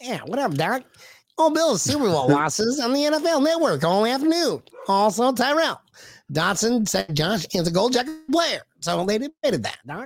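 A put-on character voice at a fairly high pitch makes very wide pitch swings. It keeps to a moderate pace. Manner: casual, wisecracking.

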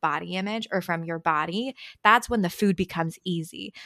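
Recorded very cleanly against a silent background, with a dry, close sound and no echo, a woman speaks in a Californian accent at a moderate pace. Her tone is bright and sharp, with a fairly low pitch and ordinary pitch variation. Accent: California. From San Francisco Bay Area (Marin County). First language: Chinese. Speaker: dietitian. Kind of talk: interview.

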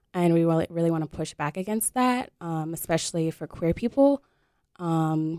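Speaking in an American accent at a fairly quick pace, a woman has a fairly low pitch and a dark, mellow tone, captured on a very clean recording with a silent background and a dry, close sound with no echo. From Detroit, Michigan. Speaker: circus instructor and activist. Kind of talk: casual radio interview. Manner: hesitant, lots of fillers.

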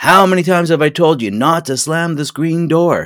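A man does a loud, put-on character voice, high in pitch, with ordinary pitch variation. He keeps a moderate pace on a very clean recording with a silent background. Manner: authoritative, scolding.

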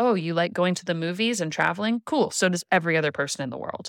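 A woman with an American accent talks at a very fast pace, her medium pitch carried by lively intonation. The very clean recording has a silent background and a dry, close sound with no echo. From California, Central Coast. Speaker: artist and event stationery designer. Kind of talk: casual interview chat.

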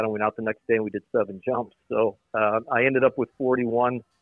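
Over music in the background, the voice keeps a monotone, flat intonation. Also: man. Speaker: former baseball general manager. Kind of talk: casual interview. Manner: halting, repeats words.

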